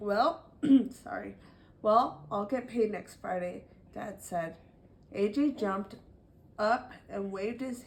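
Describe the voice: Ordinary pitch variation in plain reading aloud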